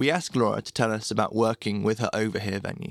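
A man talking at a very fast pace, with a dry, close sound and no echo. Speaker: blog narrator. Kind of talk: reading aloud a written blog post.

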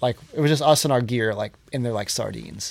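A man talks in an unremarkable speaking voice at medium pitch. He goes at a fairly quick pace with ordinary pitch variation. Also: very clean recording, silent background. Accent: American. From Johnstown, Pennsylvania. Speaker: hardcore musician and show promoter. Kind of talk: casual chat. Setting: in person at host's place.

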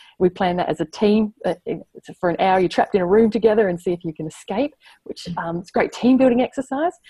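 A woman with an Australian accent speaks at a fairly quick pace in a medium pitch, her dark, mellow tone somewhat breathy, her intonation lively, and the sound dry and close with no echo. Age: 30s. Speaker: surrogate and maths teacher. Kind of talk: interview.

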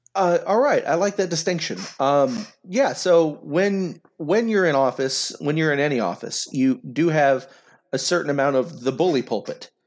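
With an American accent and an ordinary speaking voice, a man talks at a moderate pace and a fairly high pitch, using lively intonation and very even loudness on a very clean recording with a silent background. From Oklahoma, McAlester. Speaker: congressional candidate. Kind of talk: interview.

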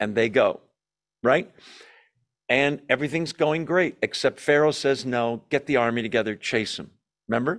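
Long, frequent pauses break up speech at a moderate pace with ordinary pitch variation. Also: man, fairly high pitch for a man. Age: 60s. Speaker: Bible study teacher. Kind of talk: Bible study lecture. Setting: church hall with in-person audience and Zoom. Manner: conversational with frequent fillers.

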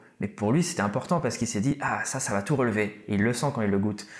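With an ordinary speaking voice, a man talks at a fairly quick pace using lively intonation. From Réunion, Malagasy heritage. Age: 30s. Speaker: rapper. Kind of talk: casual interview.

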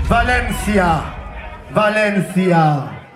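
A man speaks at a high pitch with ordinary pitch variation and an animated tone. Audible room echo and noticeable background noise fill the recording. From France, Tours. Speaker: sound system MC. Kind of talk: soundclash MC talk. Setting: stage with audience.

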